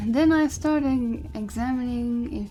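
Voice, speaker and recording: Over noticeable background noise, a woman's pitch varies in an ordinary way. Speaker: gaming streamer. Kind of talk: casual live-stream chat.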